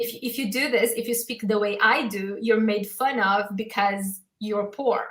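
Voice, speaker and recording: A woman speaks with a Portuguese accent at a fairly high pitch. Her pace is fairly slow, her intonation fairly even, and she hardly pauses. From southern Brazil. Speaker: podcast host, former teacher. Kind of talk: livestream conversation.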